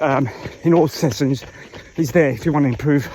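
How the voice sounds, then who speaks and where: A man's fairly high voice at a moderate pace, with ordinary pitch variation and noticeable background noise. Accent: South African. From South Africa. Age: 50s. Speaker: triathlete vlogger. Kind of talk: casual vlog monologue while running. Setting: outdoors on a trail run.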